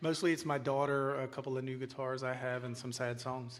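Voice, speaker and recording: Audible room echo surrounds a man speaking at a fairly quick pace. His intonation stays monotone and flat. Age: middle-aged. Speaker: songwriter. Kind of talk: interview on stage.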